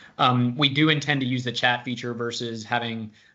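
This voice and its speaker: A man speaks loudly at medium pitch with a bright, sharp tone. His intonation is monotone and flat. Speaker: consulting director hosting webinar. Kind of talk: webinar panel discussion. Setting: video call webinar.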